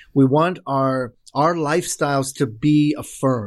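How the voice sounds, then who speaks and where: In a very clean recording against a silent background, a man speaks with a Baltimore accent. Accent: American English (Baltimore upbringing). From Korea until age six, then Baltimore inner city. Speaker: professor of evangelism and pastor. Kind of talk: interview conversation.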